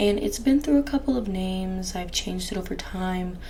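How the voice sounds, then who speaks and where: There is audible room echo on this clip. Background noise is noticeable too. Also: woman. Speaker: ASMR youtuber. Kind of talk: casual talk to camera. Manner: normal speaking voice, not whispering; halting, many fillers.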